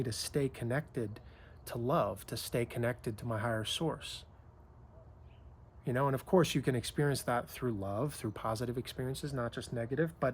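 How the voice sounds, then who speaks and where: Somewhat breathy and fairly quick, the voice shows ordinary pitch variation. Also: man. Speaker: spiritual coach and author. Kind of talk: casual reflective talk to camera about spiritual awakening. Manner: reflective, conversational, with hesitations and fillers.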